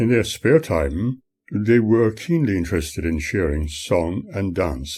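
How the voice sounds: Speaking at a fairly slow pace, a man has a slightly mellow tone.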